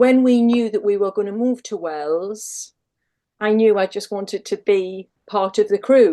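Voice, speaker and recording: A dark, mellow tone in a Northumbrian accent over a quiet background. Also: woman, medium pitch for a woman, ordinary pitch variation, fairly slow pace. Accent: Northumbrian accent, kept. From Northumberland, northern England. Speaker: lifeboat crew member and sea safety volunteer. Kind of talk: casual interview chat.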